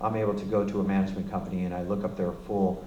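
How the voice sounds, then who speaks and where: Recorded with audible room echo and noticeable background noise, a man talks in a fairly low voice. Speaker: music royalties representative. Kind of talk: presentation to an audience. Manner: fast; halting, many fillers.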